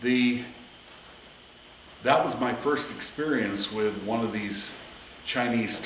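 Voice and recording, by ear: Very slow speech amid noticeable background noise. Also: man.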